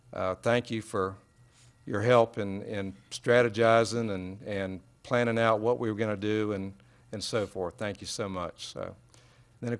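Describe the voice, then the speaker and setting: This is a plain, everyday voice, with fairly even intonation at a moderate pace. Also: man. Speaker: council member. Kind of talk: council meeting remarks. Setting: council chamber. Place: hall. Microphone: podium.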